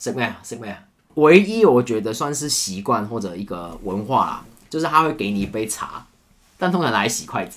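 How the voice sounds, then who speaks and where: A man talks at a fairly quick pace with a medium pitch. His pitch swings very widely and his loudness rises and falls sharply. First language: Cantonese (speaking Chinese). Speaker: camera operator. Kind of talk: casual chat.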